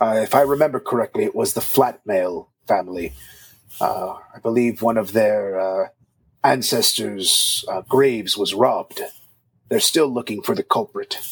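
Medium pitch and a moderate pace from a man doing a put-on character voice. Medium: actual play. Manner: hesitant, halting.

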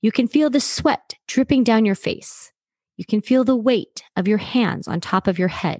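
Somewhat breathy woman's voice, fairly high in pitch, moderate pace, ordinary pitch variation, dry and close with no echo, quiet background. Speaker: sports psychology coach. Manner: instructional and clear.

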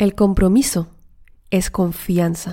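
A woman's dark, mellow voice at a very slow pace, with ordinary pitch variation. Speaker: life coach podcaster. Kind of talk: motivational monologue. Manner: animated.

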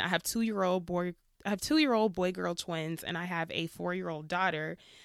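In a very clean recording with a silent background, a woman speaks at a medium pitch and a moderate pace. She has a normal speaking voice with ordinary pitch variation. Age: 30s. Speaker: podcast host and PhD student. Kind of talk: solo podcast monologue. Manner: casual, conversational with laughter.

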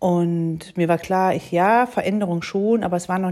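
A woman speaks at a moderate pace in a fairly low pitch, with a dark, mellow tone and ordinary pitch variation. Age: 40s. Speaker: mediator and podcast host. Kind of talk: solo podcast monologue. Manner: hesitant with fillers.

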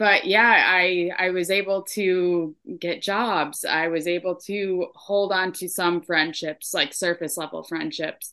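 Against a quiet background, a woman with an American accent speaks at a very slow pace with fairly even intonation. Her voice is fairly low in pitch, with a bright, sharp tone. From upstate New York. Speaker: addiction aftercare specialist. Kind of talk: personal testimony in interview. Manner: hesitant, many fillers.

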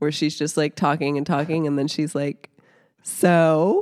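Her voice is a woman's very deep, low one. The recording is very clean and dry, close, with a silent background and no echo. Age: 30s. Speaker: comedian. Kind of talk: casual chat. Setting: home basement.

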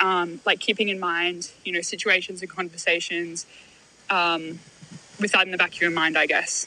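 With an Australian accent, a woman talks in a medium pitch and a bright, sharp tone. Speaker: listener leaving voicemail. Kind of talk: voicemail message.

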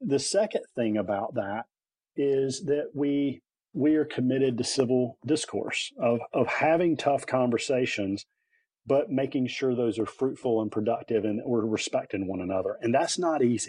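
Speaking with a North Carolina accent, a man talks at a moderate pace over a quiet background. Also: medium pitch for a man, ordinary pitch variation. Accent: North Carolina Southern. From North Carolina (Lillington, near Raleigh). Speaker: head of a leadership nonprofit, former teacher. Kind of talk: interview.

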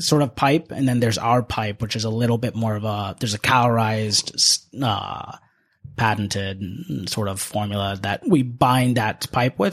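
A man with an American accent and a normal speaking voice talks at a moderate pace with ordinary pitch variation. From Northern Virginia, US. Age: 20s. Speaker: manufacturing business owner. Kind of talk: podcast interview. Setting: studio.

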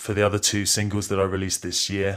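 A man with an English accent speaks in a very deep, low pitch on a very clean recording with a silent background. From England. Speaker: musician. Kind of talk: pre-recorded interview answers. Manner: halting.

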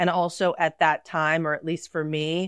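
This is a normal speaking voice, a woman's at a fairly low pitch, moving at a moderate pace in a dry, close sound with no echo. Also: quiet background. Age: 40s. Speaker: esthetician. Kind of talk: casual chat.

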